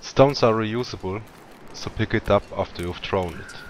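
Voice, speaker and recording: A man with a strong Swiss accent at a moderate pace. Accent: heavy Swiss. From Switzerland. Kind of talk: video game tutorial narration.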